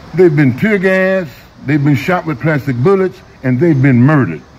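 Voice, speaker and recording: With an American accent, a man talks at a moderate pace with lively intonation over noticeable background noise. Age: 70s. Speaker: activist. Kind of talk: rally speech. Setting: outdoors. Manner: animated; loud.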